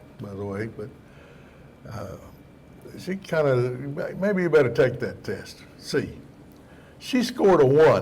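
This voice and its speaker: In a room with audible echo, a man speaks very slowly, his pitch swinging very widely. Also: long, frequent pauses. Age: 80s+. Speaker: pastor and ministry teacher. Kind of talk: sermon. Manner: conversational storytelling, humorous.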